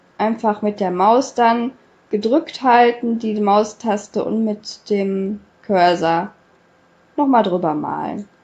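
A woman is talking. Her pitch is medium. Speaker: YouTuber. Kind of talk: tutorial. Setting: screen recording voiceover.

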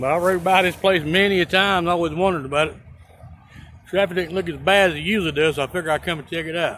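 A man with a Carolinas accent, high-pitched with a bright, sharp tone, at a very fast pace with fairly even intonation, in a dry sound with no echo and light background noise. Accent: US Southern (Carolinas). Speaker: YouTuber, amateur explorer; YouTuber. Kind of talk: casual vlog narration. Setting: outdoors by an interstate highway. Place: open country. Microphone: phone near.

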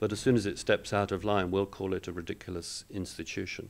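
In a British accent, the speaker goes at a fairly quick pace on a very clean recording with a silent background. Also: man. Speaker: international law professor. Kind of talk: panel discussion. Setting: event hall with live audience.

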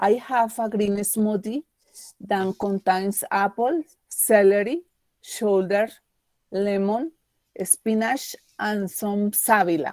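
A woman's very slow, medium-pitched speech with long, frequent pauses and ordinary pitch variation, the sound dry and close with no echo. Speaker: English student. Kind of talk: reading aloud. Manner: halting.

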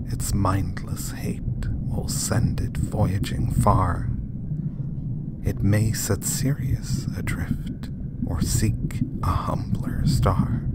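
Very slowly, someone whispers while noticeable background noise carries on behind. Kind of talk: poetry reading.

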